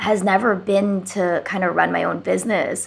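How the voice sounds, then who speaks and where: Speaking fairly slowly at medium pitch, a woman with an American accent shows vocal fry. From US South (Atlanta, Georgia). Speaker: videographer and content creator. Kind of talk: casual interview chat.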